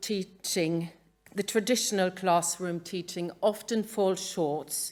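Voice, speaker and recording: Speaking very slowly, a woman talks with a Norwegian accent. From Norway. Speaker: museum educator. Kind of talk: conference talk. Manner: halting; reading from a script.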